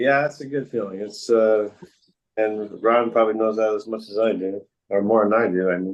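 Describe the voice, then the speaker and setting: A man speaks in a normal speaking voice at a moderate pace. His pitch is fairly low and his intonation fairly even. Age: 60s. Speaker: arm wrestler. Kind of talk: casual chat. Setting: video call. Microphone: unstable internet connection.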